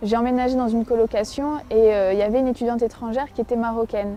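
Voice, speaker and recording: The pace is very fast. The tone is dark and mellow. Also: woman. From France. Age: 20s. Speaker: convert giving testimony. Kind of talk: testimony. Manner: halting, many fillers.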